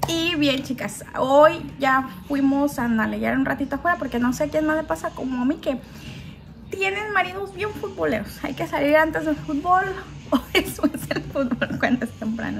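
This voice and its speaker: At a moderate pace, a woman talks in a high pitch over noticeable background noise. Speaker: home vlogger. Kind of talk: casual vlog chat. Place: home room. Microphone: phone near.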